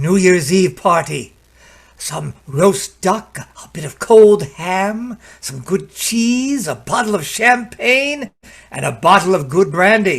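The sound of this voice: Slow and lively in intonation, a man puts on a character voice with a high pitch and vocal fry. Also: fairly bright tone.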